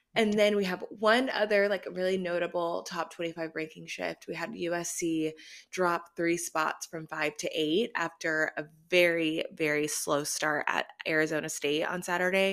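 A woman's unremarkable speaking voice with an American accent, fairly low in pitch, with fairly even intonation at a moderate pace. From Austin, Texas. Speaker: podcast host. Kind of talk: casual chat.

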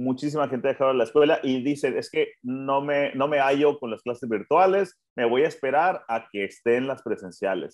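Moderately paced and fairly high-pitched, this man has an ordinary speaking voice. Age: 20s. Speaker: podcast co-host, café owner. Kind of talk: casual chat. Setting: at home.

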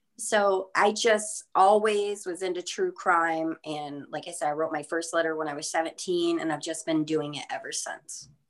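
A woman has an ordinary speaking voice, fairly low in pitch with ordinary pitch variation. She keeps a moderate pace with hardly any pauses. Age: 30s. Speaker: true crime pen pal, former security officer. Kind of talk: podcast interview.

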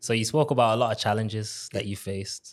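Heard on a very clean recording with a silent background, a man in a plain, everyday voice speaks at a fairly quick pace with a fairly low pitch and fairly even intonation. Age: 20s. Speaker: podcast host. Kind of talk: interview.

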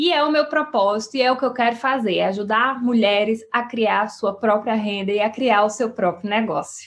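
A woman uses an ordinary speaking voice, fairly high in pitch with ordinary pitch variation. She keeps a moderate pace with hardly any pauses and very even loudness. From Brazilian Northeast, sertão of Paraíba. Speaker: podcast host, entrepreneurship coach. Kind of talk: solo podcast monologue. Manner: warm, conversational.

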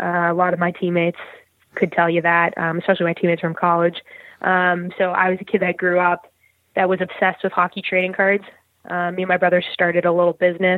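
With a Western Canadian accent, a woman speaks very fast in a fairly low, monotone voice with flat intonation. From Burnaby, British Columbia, Canada. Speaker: professional ice hockey player. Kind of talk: interview.

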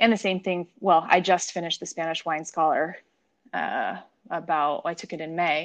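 A woman with an unremarkable speaking voice talks at a moderate pace in a fairly low pitch, her intonation fairly even. Her loudness swings widely against a quiet background. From San Diego, California. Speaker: wine sales professional and sommelier. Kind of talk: casual interview.

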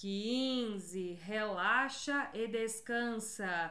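Room echo is audible here. A woman speaks in an animated tone. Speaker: podcast host, pelvic health educator. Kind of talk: guided exercise counting; casual educational talk with guided exercises.

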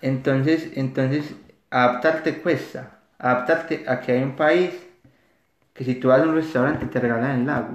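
Speaking at a fairly slow pace, this man has a medium pitch and fairly even intonation. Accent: Paisa Colombian. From Colombia, Antioquia (Caldas, near Medellín). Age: 30s. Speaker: psychologist, recent immigrant. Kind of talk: podcast interview.

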